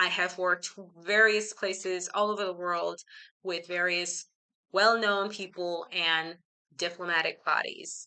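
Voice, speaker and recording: Woman of medium pitch with an American accent, bright and sharp in tone, flat and monotone, at a fairly slow pace. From Belize and United States. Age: 40s. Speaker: life coach and teacher, video host. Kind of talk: talking-head vlog monologue. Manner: hesitant, many fillers.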